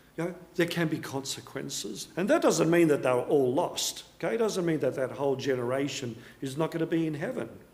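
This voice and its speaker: With an Australian accent, a man talks at a fairly high pitch and a fairly quick pace. His intonation is lively, and audible room echo surrounds him. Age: 60s. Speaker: pastor. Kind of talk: sermon.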